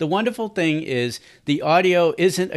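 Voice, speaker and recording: A man talks at a moderate pace in an enthusiastic tone, with ordinary pitch variation. Behind him, the background is quiet. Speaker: podcast host. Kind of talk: promotional podcast intro and outro. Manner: enthusiastic, conversational.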